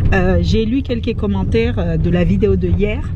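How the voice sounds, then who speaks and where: Music in the background, with a dry sound and no echo. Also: woman. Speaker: vlogger. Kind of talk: casual vlog chat. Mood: calm, slightly defensive. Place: car. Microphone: phone near.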